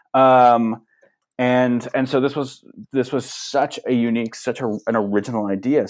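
A man with a Californian accent talks at a moderate pace with ordinary pitch variation. The background is quiet. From Los Angeles, San Fernando Valley. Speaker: TV writer and showrunner. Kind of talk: interview. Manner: halting, with frequent fillers and repetitions.

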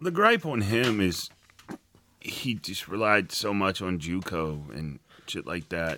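Very deep and low, a man's voice moves at a very slow pace in an American accent. His intonation is lively. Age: 40s. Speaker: sports podcast co-host. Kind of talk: casual chat.

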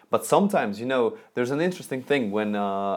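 A Russian accent with ordinary pitch variation, on a very clean recording with a silent background. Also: man. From Russia, Moscow. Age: 20s. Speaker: calligraphy and lettering artist. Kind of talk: interview. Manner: halting.

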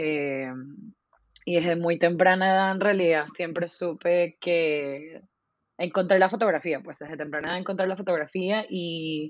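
A woman speaks at a fairly slow pace. Her pitch is fairly low and her intonation fairly even. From Venezuela. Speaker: photographer. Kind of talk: casual interview.

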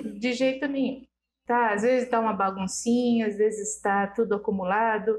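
At a moderate pace, a woman with a normal speaking voice speaks with fairly even intonation and a fairly high pitch. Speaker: guest, host's mother. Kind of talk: casual chat.

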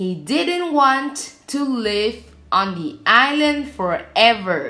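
The woman's voice is high-pitched, with very wide pitch swings. She speaks at a very slow pace. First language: Vietnamese. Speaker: storytelling channel host. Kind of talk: scripted fairy-tale narration. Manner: slow, even storyteller pacing.

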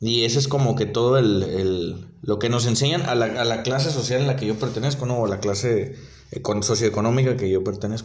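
Audible room echo surrounds the voice. The pace is fairly quick, with ordinary pitch variation. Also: man, medium pitch for a man. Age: 20s. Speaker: delivery worker podcaster. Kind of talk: casual monologue. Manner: halting, repetitive.

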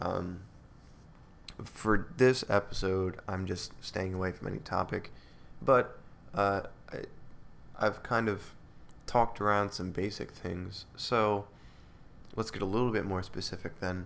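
Pausing long and often, a man with a fairly low pitch speaks at a fairly slow pace with fairly even intonation. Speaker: podcast host. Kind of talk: solo monologue, improvised talk. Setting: home recording, solo. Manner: calm, relaxed, rambling.

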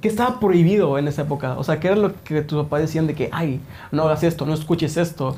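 At a very fast pace, a man with a fairly high pitch and a dark, mellow tone speaks with ordinary pitch variation. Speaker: podcast host. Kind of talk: casual chat.

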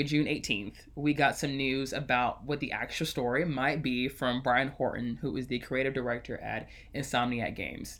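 A man with an American accent speaks at a fairly slow pace and medium pitch, his bright, sharp tone carrying vocal fry and ordinary pitch variation, in a very clean recording with a silent background. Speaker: podcast host. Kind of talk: casual chat. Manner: sarcastic tone.

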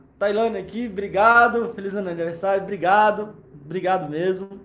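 Audible room echo hangs around the speech. Its pitch moves with ordinary variation. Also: man. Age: 30s. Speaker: podcast host, anxiety coach. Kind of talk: tutorial; motivational talk.

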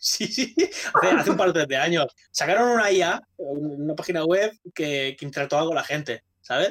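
A man with a normal speaking voice, fairly high pitch, moderate pace and lively intonation. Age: 30s. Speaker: gaming podcast co-host. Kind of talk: casual chat.

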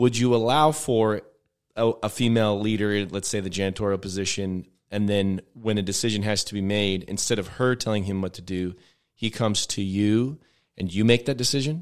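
On a very clean recording with a silent background, a man with a plain, everyday voice speaks at a fairly quick pace, his fairly low pitch showing ordinary variation. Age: 30s. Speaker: pastor. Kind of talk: casual chat.

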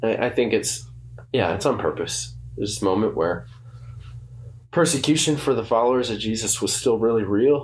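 Audible room echo surrounds a man speaking at a moderate pace with long, frequent pauses. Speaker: church podcast co-host. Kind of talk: casual chat.

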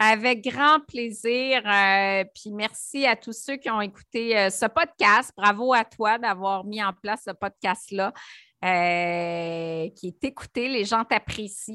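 A woman with a Quebec accent speaks at a very slow pace, her fairly high voice bright and sharp with ordinary pitch variation. The recording is very clean, with a silent background and a dry, close sound without echo. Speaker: nutritionist and entrepreneur. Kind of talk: interview. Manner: animated.

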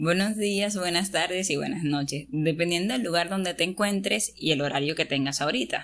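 An ordinary speaking voice from a woman at a fairly low pitch, in a very clean recording with a silent background. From Venezuela. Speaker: podcast co-host, engineering student. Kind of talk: casual chat. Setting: sitting on a bed at home.

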